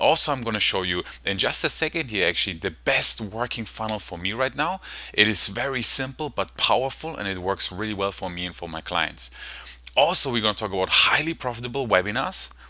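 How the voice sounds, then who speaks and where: Speaking at a fairly quick pace with a German accent, this voice has a bright, sharp tone and lively intonation, captured in a very clean recording against a silent background. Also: man, fairly low pitch for a man. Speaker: online marketing coach. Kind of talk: sales presentation. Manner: fast; animated.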